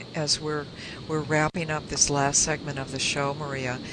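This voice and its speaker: A woman whose voice is very deep and low talks at a middling tempo with background noise clearly audible. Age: 60s. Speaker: radio host and minister. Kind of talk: radio interview; guided meditation.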